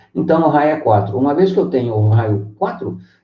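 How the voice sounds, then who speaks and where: A man's voice makes very wide pitch swings, with audible room echo around it. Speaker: math teacher. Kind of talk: online lecture.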